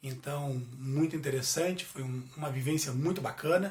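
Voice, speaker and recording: Through noticeable background noise and audible room echo, a man talks at a moderate pace in a fairly high pitch. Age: 40s. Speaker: business administrator. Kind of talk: guest lecture. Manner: halting, filler-heavy.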